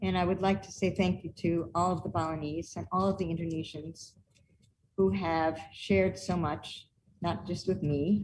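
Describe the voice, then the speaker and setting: A woman talks at a moderate pace with some vocal fry. Her fairly low voice has ordinary pitch variation. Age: 60s. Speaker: performance artist and researcher. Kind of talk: online presentation with demonstration.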